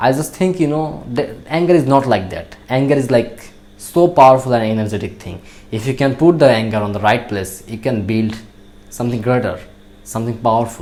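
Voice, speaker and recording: A man with a Bangladeshi accent talks at a fairly quick pace, his medium pitch rising and falling in an ordinary way. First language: Bengali. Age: young. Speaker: natural bodybuilder. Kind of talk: motivational talk. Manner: halting.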